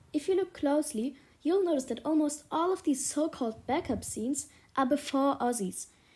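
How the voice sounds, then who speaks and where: The voice has a dark, mellow tone and a German accent, moving at a moderate pace. The recording is very clean, with a silent background. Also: woman. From Germany. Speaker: YouTube commentator. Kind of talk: video essay rant.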